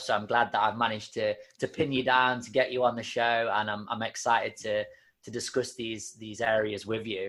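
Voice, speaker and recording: A man's medium-pitched voice with an English accent, at a moderate pace, in a very clean recording with a silent background. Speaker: fitness podcast host. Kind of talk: podcast interview.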